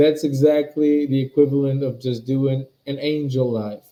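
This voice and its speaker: At a moderate pace, a man with a non-native accent and a fairly high pitch speaks in a dark, mellow tone with monotone, flat intonation. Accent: noticeable foreign. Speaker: spiritual teacher. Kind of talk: live webinar talk. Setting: live stream webinar. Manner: halting, repetitive.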